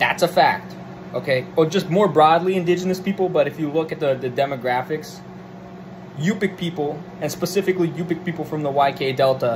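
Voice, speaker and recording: Noticeable background noise surrounds this man's speech. His voice is fairly high and his tone animated. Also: ordinary pitch variation, fairly quick pace. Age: 20s. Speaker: political commentator. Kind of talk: solo monologue rant. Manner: hesitant fillers. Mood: irritated, profane rant. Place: home room. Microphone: phone near.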